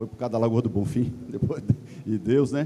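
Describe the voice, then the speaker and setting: The man has a dark, mellow tone. He talks at a fairly quick pace with ordinary pitch variation. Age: 60s. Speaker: club member, chemical engineer. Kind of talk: assembly floor speech. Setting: general assembly with audience.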